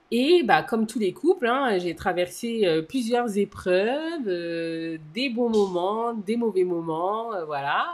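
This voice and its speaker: A woman's fairly high voice with very wide pitch swings, very slow in pace yet with hardly any pauses, against noticeable background noise. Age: 30s. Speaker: podcast co-host. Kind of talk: casual chat.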